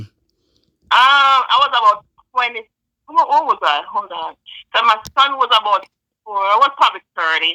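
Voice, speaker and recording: Speaking with a Jamaican accent, a woman uses a bright, sharp tone, lively intonation and a fairly high pitch, with long, frequent pauses and a dry, close sound that has no echo. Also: moderate pace. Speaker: nurse. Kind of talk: interview answer.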